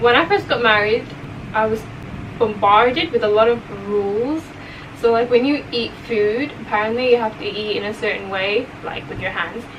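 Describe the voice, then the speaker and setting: The speech has ordinary pitch variation and a moderate pace. Noticeable background noise and audible room echo are present. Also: woman, fairly high pitch for a woman. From England, then Saudi Arabia from age twelve. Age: 20s. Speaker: food vlogger. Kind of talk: mukbang Q&A chat. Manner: casual, chatty; quiet, near whisper.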